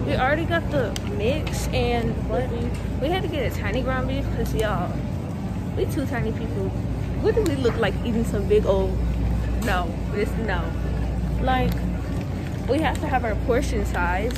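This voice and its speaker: A woman at a moderate pace, with long, frequent pauses and music in the background. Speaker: vlogger. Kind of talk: casual vlog chat. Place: shop. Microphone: phone near.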